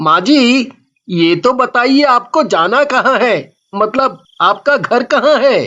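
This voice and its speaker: A cartoonish character voice at a fairly high pitch and a fairly slow pace. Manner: polite, respectful.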